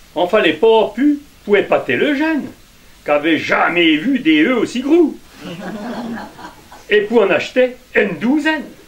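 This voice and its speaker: A man's extremely high pitch with very wide pitch swings, a fairly slow pace and long, frequent pauses, over noticeable background noise. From Puisaye, Burgundy. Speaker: storyteller. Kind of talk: folk tale told to a live audience.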